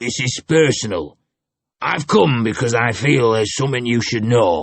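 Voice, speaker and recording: In a put-on character voice, a man speaks raspily at a moderate pace and a medium pitch. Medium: read story. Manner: casual, blunt.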